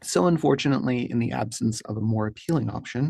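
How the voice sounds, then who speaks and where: A man with an Appalachian accent speaks at a fairly quick pace and medium pitch, with vocal fry and ordinary pitch variation. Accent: Appalachian regional pronunciation. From US, rural Appalachia. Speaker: wargaming hobby channel host. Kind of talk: scripted monologue to camera. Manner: formal.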